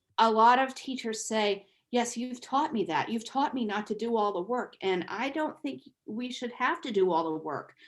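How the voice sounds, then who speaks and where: The speaker has an unremarkable speaking voice and keeps a moderate pace. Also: woman, fairly high pitch for a woman, lively intonation. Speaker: Spanish teacher and author, workshop presenter. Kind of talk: online teacher workshop.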